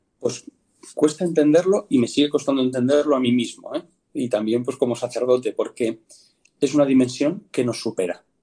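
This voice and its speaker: Speaking at a moderate pace, a man has a dark, mellow tone, a fairly high pitch and ordinary pitch variation. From Spain, Madrid region (Pinto). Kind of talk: interview testimony. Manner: halting, with many fillers.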